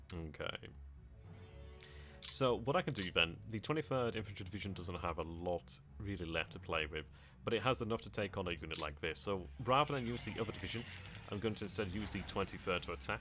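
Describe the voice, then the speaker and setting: Lively intonation and a bright, sharp tone with an English accent. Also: man, very deep, low pitch for a man, fairly quick pace. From England. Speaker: video game streamer. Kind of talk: live gameplay stream commentary. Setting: live stream.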